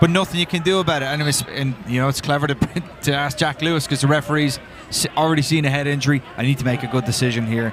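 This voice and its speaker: Noticeable background noise sits under a man speaking with an Irish accent. He talks very fast in a fairly high pitch, with fairly even intonation. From Ireland. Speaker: soccer color commentator. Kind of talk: live commentary.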